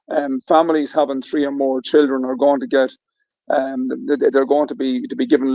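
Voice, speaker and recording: A man's fairly high voice with an Irish accent. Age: 60s. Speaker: political commentator guest. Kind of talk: political discussion. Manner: halting, many fillers.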